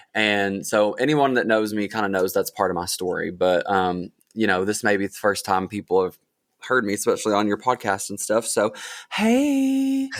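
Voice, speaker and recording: A man speaks with an Appalachian accent. The recording is very clean, with a silent background. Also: moderate pace. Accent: Appalachian Southern US. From southeastern Kentucky, Appalachia. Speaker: singer-songwriter. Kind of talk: casual interview. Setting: podcast.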